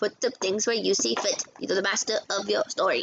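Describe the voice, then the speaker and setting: A put-on character voice, female-sounding, at a moderate pace. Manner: creepy.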